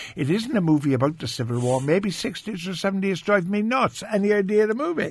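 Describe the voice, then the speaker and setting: A man talking at a very fast clip, high-pitched for a male voice, pitch leaping very widely, with hardly any pauses. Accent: Irish. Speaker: radio host. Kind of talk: casual radio chat. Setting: studio.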